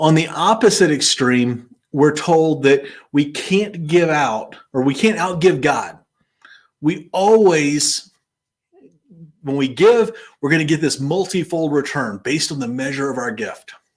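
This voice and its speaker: Speaking at a fairly slow pace, a man with an American accent uses lively intonation at a fairly high pitch. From US South. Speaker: Bible teacher and finance host. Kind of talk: bible study talk.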